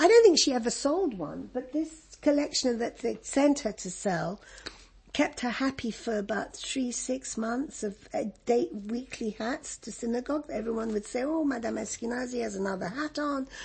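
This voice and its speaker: A woman's high-pitched voice moves at a moderate pace with lively intonation. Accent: English. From Egypt. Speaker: refugee interviewee. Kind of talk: oral history interview. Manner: halting.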